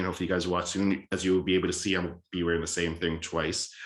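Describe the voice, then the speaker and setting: A man's very deep, low voice with an American accent at a very fast pace. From Boston area, Massachusetts (Cambridge). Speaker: podcast host. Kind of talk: casual solo podcast monologue. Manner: rambling, casual, many fillers.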